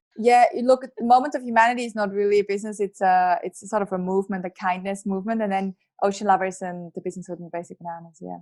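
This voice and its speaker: Speaking very fast with hardly any pauses, a woman with a strong Swiss accent uses a medium pitch with ordinary variation and big swings in loudness. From Switzerland. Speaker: entrepreneur and author. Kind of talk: podcast interview.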